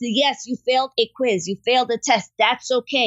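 Speaking at a moderate pace, a woman with an American accent uses a high pitch and ordinary pitch variation. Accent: New York (Bronx), lessened. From Bronx, New York. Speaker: science teacher and STEAM director. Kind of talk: casual interview.

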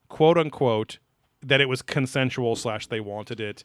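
A man with a medium pitch uses a normal speaking voice with lively intonation, recorded with a dry, close sound and no echo. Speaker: podcast host. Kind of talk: casual chat, comedic banter. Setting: live-streamed recording.

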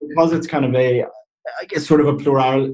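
A man with an Irish accent talks at a moderate pace, his dark, mellow tone somewhat breathy. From Ireland. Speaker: Irish political guest. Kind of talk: casual explanatory interview.

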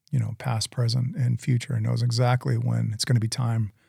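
In a dry, close sound with no echo, a man with a dark, mellow tone and a somewhat breathy medium-pitched voice speaks at a moderate pace with fairly even intonation. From Southern Maine, Portland area. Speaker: gym owner sharing testimony. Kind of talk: testimony.

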